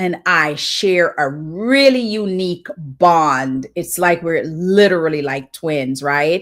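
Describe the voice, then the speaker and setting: A woman speaks at a fairly slow pace in a fairly low voice. Her intonation is lively. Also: very clean recording, silent background. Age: 60s. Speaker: devotional livestream host and author. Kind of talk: devotional livestream talk.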